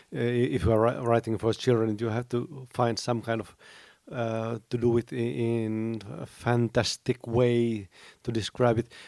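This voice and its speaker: Using a medium pitch and fairly even intonation, a man with a Finnish accent speaks at a fairly slow pace in a dry, close sound with no echo. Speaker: teacher, writer and critic. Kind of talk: panel discussion. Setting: convention stage with audience.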